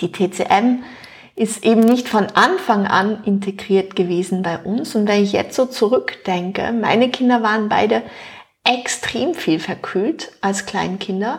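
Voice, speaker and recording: Over noticeable background noise, a woman speaks at a fairly slow pace. Her fairly high voice shows ordinary pitch variation. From Luxembourg. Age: 40s. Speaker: nutrition expert. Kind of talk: interview.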